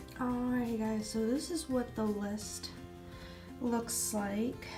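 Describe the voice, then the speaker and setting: A woman with a fairly high voice speaks at a very slow pace. Her intonation is fairly even, with music playing in the background. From Atlanta, Georgia. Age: 20s. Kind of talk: casual talk to camera.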